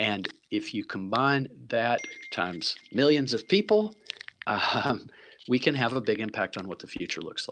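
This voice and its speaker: With an American accent, a man at medium pitch speaks at a moderate pace, his loudness swinging widely and his pitch making very wide swings. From US South, Tennessee. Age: 60s. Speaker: impact investor and philanthropist. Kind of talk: interview conversation.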